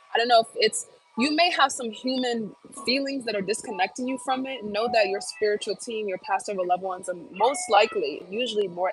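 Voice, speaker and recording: A woman with an American accent and ordinary pitch variation, music playing in the background. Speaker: tarot reader and psychic medium. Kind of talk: live-stream tarot reading Q&A. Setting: live stream at work. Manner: occasional stutter in readings; casual, hesitant with many fillers.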